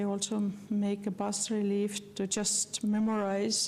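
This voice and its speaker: A woman's medium-pitched voice, dark and mellow in tone, with an Estonian accent and audible room echo. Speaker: postulator of a beatification cause, lecturer. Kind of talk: lecture. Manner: halting, many fillers.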